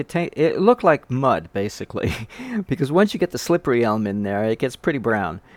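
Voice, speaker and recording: A man with very wide pitch swings, in a dry, close sound with no echo and a very clean recording over a silent background. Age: 60s. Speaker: home recipe video maker. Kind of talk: casual tutorial monologue. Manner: halting, many fillers and restarts.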